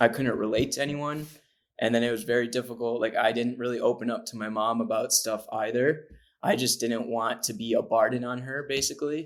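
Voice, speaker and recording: In a very clean recording with a silent background, a man talks in a normal speaking voice at medium pitch with fairly even intonation. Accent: American. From upstate New York, Syracuse. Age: 20s. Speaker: transgender advocate guest. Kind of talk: personal testimony in interview.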